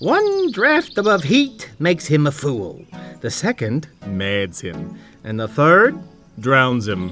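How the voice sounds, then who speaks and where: A man talks fairly slowly in a cartoonish character voice with fairly high pitch, and faint music plays in the background. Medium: puppet show. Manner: playful, mock-formal.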